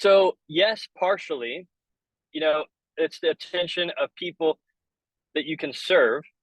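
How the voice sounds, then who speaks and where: A man speaks loudly at a very slow pace with a high pitch. The sound is dry and close, with no echo. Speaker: business coach. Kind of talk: webinar training. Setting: in a car. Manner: casual.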